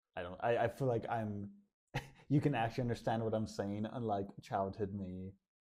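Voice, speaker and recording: A man's dark, mellow voice at a fairly low pitch, moderate in pace, with fairly even intonation. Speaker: podcast co-host. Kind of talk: casual chat. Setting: basement apartment room with echo.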